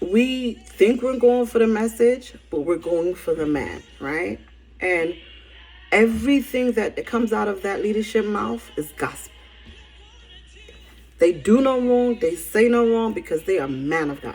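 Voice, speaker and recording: A woman with a Barbadian accent speaks at a fairly slow pace, her fairly high voice making very wide pitch swings. Music plays in the background. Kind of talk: casual spiritual message to camera.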